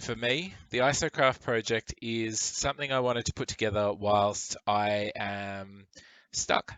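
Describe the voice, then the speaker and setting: This man has an Australian accent and a medium pitch. He speaks at a fairly slow pace with ordinary pitch variation. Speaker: gaming YouTuber. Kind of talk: voiceover narration of gameplay. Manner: casual, with fillers and false starts.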